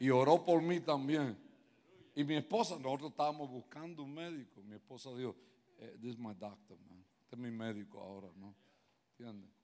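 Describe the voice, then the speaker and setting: The voice has a dark, mellow tone and a moderate pace, with big swings in loudness and long, frequent pauses. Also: man. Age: 70s. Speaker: guest pastor; pastor. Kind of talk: sermon. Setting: church. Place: church. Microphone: handheld.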